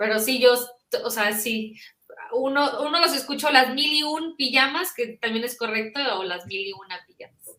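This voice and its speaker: Her voice raised and projected, a woman speaks at a high pitch with lively intonation and big swings in loudness. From northern Mexico, Monterrey. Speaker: children's book author. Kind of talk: interview.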